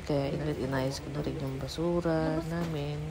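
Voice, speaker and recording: Against noticeable background noise, a soft-spoken woman talks at a moderate pace. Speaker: vlogger, housewife. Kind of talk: vlog voice-over narration. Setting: at home, early morning. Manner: soft-spoken, quiet; casual, joking.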